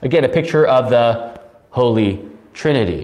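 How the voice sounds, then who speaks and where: Noticeable background noise runs beneath a man speaking at a fairly slow pace. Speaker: pastor teaching Bible study. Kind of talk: Bible study lecture. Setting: recorded alone for online video. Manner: loud.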